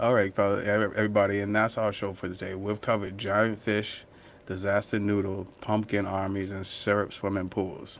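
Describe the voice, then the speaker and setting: A man with a Boston accent, fairly low in pitch, monotone and flat, at a moderate pace. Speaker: podcast co-host. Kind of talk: casual chat.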